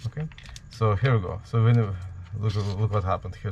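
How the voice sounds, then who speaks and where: Somewhat breathy man with a strong Ukrainian accent, fairly low pitch and ordinary pitch variation. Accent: heavy Ukrainian. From Ukraine. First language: Ukrainian or Russian. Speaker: DIY Halloween prop maker. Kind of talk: tutorial. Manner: halting, many fillers.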